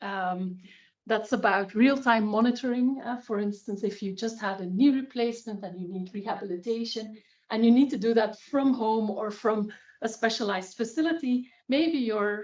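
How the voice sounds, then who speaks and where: A woman in a Flemish accent at a fairly high pitch, with ordinary pitch variation and a moderate pace. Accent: Flemish Dutch accent in English. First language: Dutch. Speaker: health data researcher. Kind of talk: expert presentation. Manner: hesitant, many fillers.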